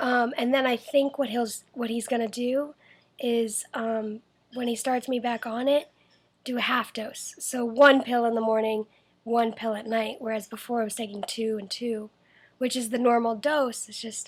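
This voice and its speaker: A quiet woman's voice at a fairly high pitch, moderate pace and monotone, flat intonation. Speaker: vlogger with cystic fibrosis. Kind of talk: video diary. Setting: at home. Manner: hesitant.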